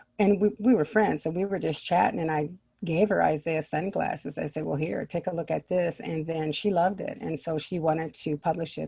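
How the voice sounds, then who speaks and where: With vocal fry and a dark, mellow tone, a woman with a very deep, low pitch speaks at a fairly quick pace with ordinary pitch variation. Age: 60s. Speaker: children's book author. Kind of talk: interview.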